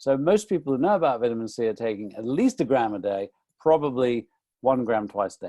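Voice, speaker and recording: A man with a British accent speaks at a medium pitch, his tone dark and mellow. His intonation is lively, and the sound is dry and close with no echo. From UK. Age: 60s. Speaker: nutrition author. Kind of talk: webinar talk. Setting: online webinar.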